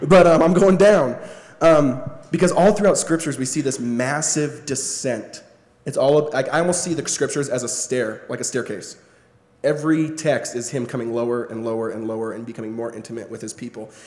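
A man with an American accent talks fairly quickly in a fairly high voice with ordinary pitch variation. Noticeable background noise and audible room echo surround his speech, and his loudness swings widely. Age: 20s. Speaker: spoken word poet and author. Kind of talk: interview before a live audience. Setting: stage with audience.

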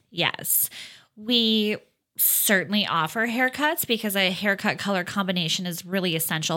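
In a Minnesota accent, a woman speaks with a bright, sharp, animated tone at a medium pitch and moderate pace, her pitch varying in an ordinary way, in a very clean recording with a silent background. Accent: Upper Midwest (Minnesota). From rural Minnesota, Fergus Falls. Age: 30s. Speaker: hair salon owner. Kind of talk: casual chat.

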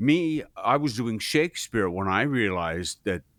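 On a very clean recording with a silent background and a dry, close sound with no echo, a man with an American accent speaks at a very slow pace with very wide pitch swings. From US Pacific Northwest, Seattle. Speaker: voice actor and coach. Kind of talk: interview. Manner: animated.

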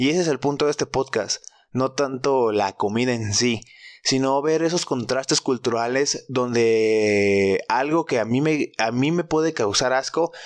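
A man with a Mexican accent speaks fairly slowly at a medium pitch with ordinary variation. His loudness stays very even, and the sound is dry and close with no echo. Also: quiet background. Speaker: podcast host. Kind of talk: casual solo monologue. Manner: animated.

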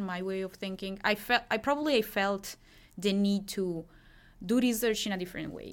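A woman with an Italian accent speaks at a moderate pace in a medium-pitched voice with ordinary pitch variation, recorded very cleanly against a silent background. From Italy, Milan. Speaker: graduate student in medieval studies. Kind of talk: interview.

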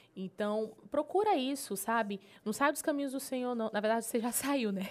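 In an animated tone, a woman speaks at a fairly high pitch with ordinary pitch variation. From Pará, Brazil (Marabá). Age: 20s. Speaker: gospel singer and TV presenter. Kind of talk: casual interview.

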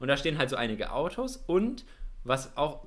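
A man speaks at a moderate pace. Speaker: podcast co-host, university student. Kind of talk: casual chat. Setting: remote call, connected separately.

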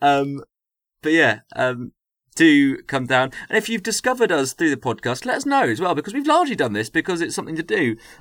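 A man's fairly high voice at a fairly quick pace with very wide pitch swings, on a very clean recording with a silent background. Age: 30s. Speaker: podcast host and performer. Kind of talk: casual chat.

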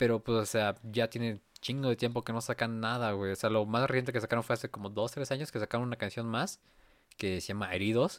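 A man with a Mexican accent at a medium pitch, fairly quick pace and fairly even intonation, dry and close with no echo, very clean recording over a silent background. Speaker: musician. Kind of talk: casual chat.

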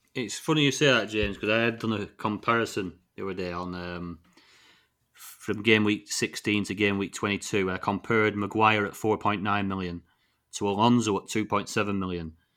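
On a very clean recording with a silent background, a man with a northern English accent speaks at a moderate pace and fairly low pitch, his tone bright and sharp and his intonation fairly even. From northern England. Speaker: fantasy football podcast host. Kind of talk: casual chat.

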